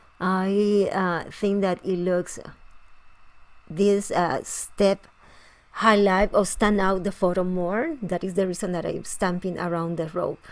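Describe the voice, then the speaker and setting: Very slow, fairly even speech in a Spanish accent. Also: woman, medium pitch for a woman. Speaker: scrapbooking tutorial host. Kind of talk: tutorial. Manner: halting, with frequent fillers and restarts.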